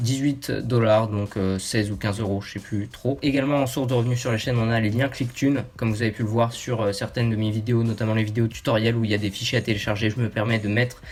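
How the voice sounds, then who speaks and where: A man speaks very fast with a monotone, flat intonation. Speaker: YouTuber. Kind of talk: casual talk to camera.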